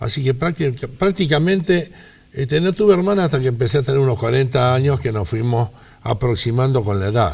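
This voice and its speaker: This man has a medium pitch and a somewhat breathy voice, talking at a fairly quick pace with lively intonation. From Rosario, Argentina. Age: 80s+. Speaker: interviewee. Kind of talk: life-story interview.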